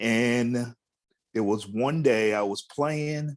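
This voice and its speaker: Pitch varies in an ordinary way as a man talks at a medium pitch in a plain, everyday voice. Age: 60s. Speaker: DJ. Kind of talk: storytelling remembrance.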